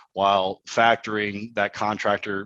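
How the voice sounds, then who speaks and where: Recorded dry and close with no echo against a quiet background, a man with an American accent speaks in a fairly low, bright, sharp voice. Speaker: construction financing expert. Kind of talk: webinar Q&A. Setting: online webinar.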